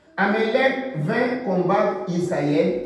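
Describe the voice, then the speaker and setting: Over noticeable background noise and audible room echo, a man talks with ordinary pitch variation. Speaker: preacher. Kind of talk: sermon. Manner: slow; halting, repetitive.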